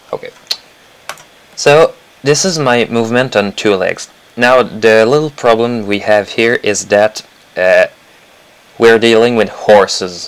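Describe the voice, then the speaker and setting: Amid noticeable background noise, a man talks at a fairly slow pace and medium pitch, with ordinary pitch variation and long, frequent pauses. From Quebec. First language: French. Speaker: animator. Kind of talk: tutorial. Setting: live stream. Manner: halting.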